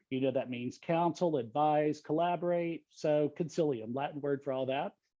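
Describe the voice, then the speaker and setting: With a Texan accent, a man talks at a moderate pace and with fairly even intonation. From Texas, Dallas. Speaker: leadership coach. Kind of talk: panel discussion.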